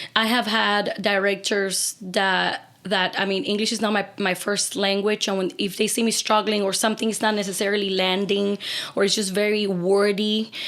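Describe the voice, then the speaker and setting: Speaking with a Spanish accent, a woman talks at a moderate pace in a medium-pitched voice. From Cuba. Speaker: opera singer. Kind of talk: casual chat.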